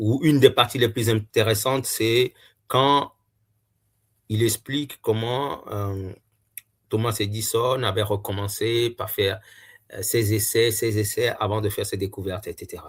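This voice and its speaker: A man talks fairly slowly at a medium pitch, somewhat breathy, with fairly even intonation and long, frequent pauses. The recording is very clean, with a silent background. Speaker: YouTuber reviewing books. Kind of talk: casual book review monologue. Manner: hesitant, many filler sounds.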